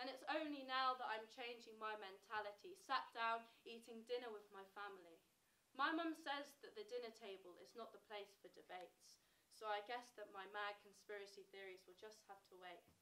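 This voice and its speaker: With an English accent, a woman speaks at a moderate pace in a fairly high, bright, sharp voice, her loudness swinging widely while her pitch varies in an ordinary way. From England. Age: 20s. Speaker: spoken word poet. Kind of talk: spoken word performance. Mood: reflective, wry. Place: stage. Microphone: camera far.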